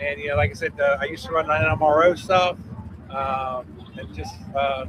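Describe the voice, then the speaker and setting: A man speaks at a moderate pace in a fairly high pitch with very wide pitch swings. Noticeable background noise runs underneath. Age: 60s. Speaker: mud racing track promoter. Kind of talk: casual interview chat.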